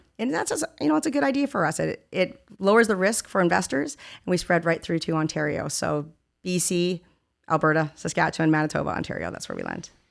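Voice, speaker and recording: Very fast and lively in intonation, a woman with a Canadian accent speaks at a fairly low pitch with vocal fry. The recording is very clean, with a silent background. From Victoria, British Columbia, Canada. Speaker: mortgage lending executive. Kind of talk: interview.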